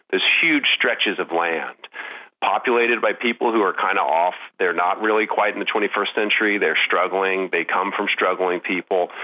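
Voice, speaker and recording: With an American accent, a man holds very even loudness at a fairly low pitch with ordinary pitch variation, amid noticeable background noise. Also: moderate pace. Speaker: film writer. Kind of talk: interview.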